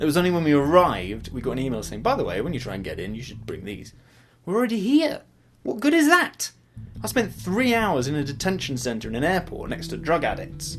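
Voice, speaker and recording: Mumbling at a fairly quick pace, a man with an English accent talks with big swings in loudness. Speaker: student vlogger. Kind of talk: casual vlog. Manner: rambling, hesitant.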